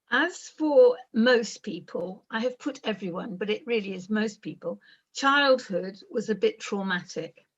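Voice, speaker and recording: Lively intonation in a somewhat breathy female voice of fairly high pitch. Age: 60s. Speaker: expert by experience, mental health survivor. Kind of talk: talk about personal life story. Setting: video call. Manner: slow, in short chunks for interpreter.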